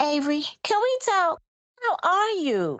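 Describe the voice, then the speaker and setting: A woman puts on a squeaky character voice at an extremely high pitch. She talks at a fairly slow pace with very wide pitch swings. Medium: audio drama. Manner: brisk, commanding.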